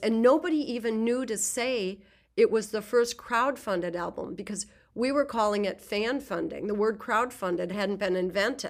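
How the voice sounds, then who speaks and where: Over a silent background on a very clean recording, a woman with a plain, everyday voice speaks at a fairly high pitch and moderate pace, with ordinary pitch variation. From US Midwest, rural southwest Minnesota. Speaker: jazz composer and orchestra leader. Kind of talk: interview conversation.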